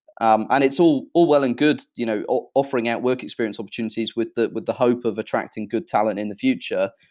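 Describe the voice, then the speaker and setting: A man with a British accent speaks at a very fast pace against a quiet background. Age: 20s. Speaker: social enterprise founder. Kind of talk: interview. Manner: hesitant, many fillers.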